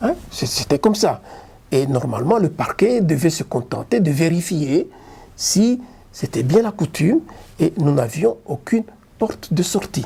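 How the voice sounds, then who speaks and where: A man with a high pitch talks at a fairly slow pace. His pitch swings very widely, and he takes long, frequent pauses. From Lubumbashi, Democratic Republic of the Congo. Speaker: lawyer. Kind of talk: interview answer.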